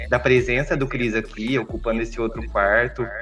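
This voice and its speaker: Speaking at a moderate pace, a man has a normal speaking voice with a medium pitch. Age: 30s. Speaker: podcast guest. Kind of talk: casual chat.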